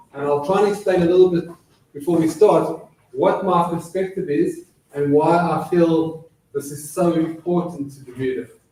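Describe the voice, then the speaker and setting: Amid audible room echo, a man with a high pitch speaks at a moderate pace with fairly even intonation and big swings in loudness. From South Africa. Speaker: dental surgeon and public health consultant. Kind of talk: lecture. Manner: hesitant with frequent fillers.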